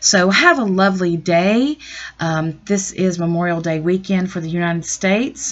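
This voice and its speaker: In a Southern US accent, a woman speaks at a fairly slow pace with a fairly low pitch. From US South. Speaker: astrologer and tarot reader. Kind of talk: astrology update monologue. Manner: casual with frequent fillers.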